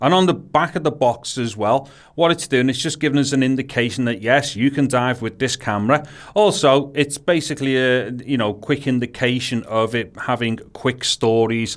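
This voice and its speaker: Speaking at a moderate pace, a man with a strong Scouse accent uses a medium pitch. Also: ordinary pitch variation. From Liverpool, England. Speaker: tech video creator. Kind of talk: unboxing tutorial. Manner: casual, with hesitations.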